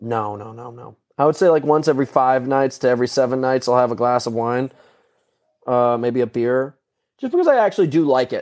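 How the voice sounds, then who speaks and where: A man with a plain, everyday voice talks at a fairly quick pace and medium pitch, with ordinary pitch variation and big swings in loudness. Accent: American. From New York and Connecticut, US. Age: 30s. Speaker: athlete. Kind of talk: casual chat.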